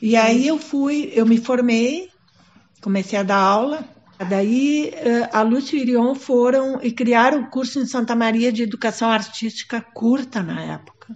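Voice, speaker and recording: A woman with a high voice talks fairly slowly, her pitch varying in an ordinary way. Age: 70s. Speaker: theatre professor and director. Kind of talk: documentary interview. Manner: hesitant, with many fillers.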